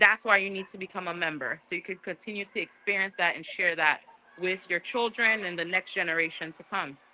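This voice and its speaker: A woman with a Haitian accent talks at a fairly quick pace and a medium pitch, with ordinary pitch variation and big swings in loudness. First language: Haitian Creole. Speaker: museum staff giving a tour. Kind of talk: guided tour on livestream.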